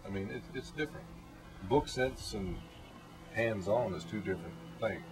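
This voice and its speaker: In an Appalachian accent, a man speaks with a fairly low pitch and very wide pitch swings at a moderate pace. Music plays in the background. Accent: Appalachian Southern US. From Blue Ridge Mountains of Virginia. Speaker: mountain man. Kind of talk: interview answer.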